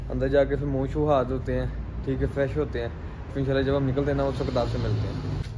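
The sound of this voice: Amid clear background noise and audible room echo, a man speaks at a fast pace and medium pitch with little pitch movement.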